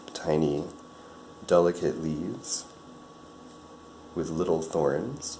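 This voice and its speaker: Over noticeable background noise, a man with a very deep, low pitch and a soothing tone speaks at a very slow pace, his intonation fairly even, with long, frequent pauses. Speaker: ASMR creator. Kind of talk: ASMR plant-care narration, calm explaining to the listener. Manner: soft, slow, soothing.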